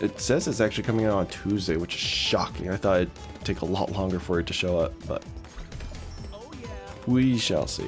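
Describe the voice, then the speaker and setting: Music plays in the background while a man talks. He leaves long, frequent pauses. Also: moderate pace. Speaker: gaming streamer. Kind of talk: casual live stream talk to chat. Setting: home stream with old microphone.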